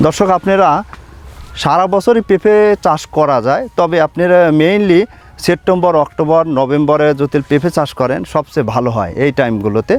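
Over music in the background, a man talks at a fairly high pitch with lively intonation. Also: very even loudness, dry, close sound with no echo. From Bangladesh, Pabna district. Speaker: papaya farmer and seedling nursery owner. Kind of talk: farm tour video presentation. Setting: outdoors in papaya orchard.

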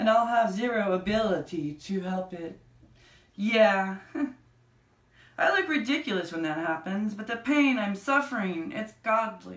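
A woman with a fairly high voice and lively intonation speaks at a fairly slow pace with long, frequent pauses, with audible room echo around her. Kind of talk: spoken word poetry reading. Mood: intense, anxious at times. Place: home room. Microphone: camera far.

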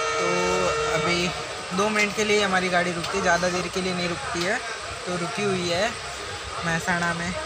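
A man speaks over loud background noise. The sound is dry with no echo. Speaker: travel vlogger. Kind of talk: casual vlog chat. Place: train. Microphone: phone near.

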